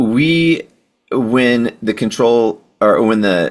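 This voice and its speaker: A man with a Texan accent and ordinary pitch variation. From Texas, Houston. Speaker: podcast host and home automation integrator. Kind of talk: interview.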